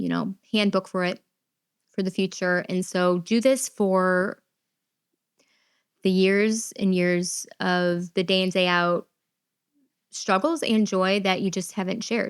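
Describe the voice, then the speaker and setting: In a very clean recording with a silent background, a woman speaks very slowly at a medium pitch with fairly even intonation and long, frequent pauses. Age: 30s. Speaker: podcast host with type 1 diabetes. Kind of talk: personal podcast monologue. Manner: conversational with filler words.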